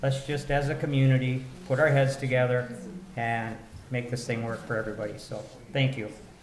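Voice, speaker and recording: A man with an American accent talks at a fairly quick pace with fairly even intonation. Room echo is audible, and there is noticeable background noise. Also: medium pitch for a man. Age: 60s. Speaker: city council member. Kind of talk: public meeting discussion.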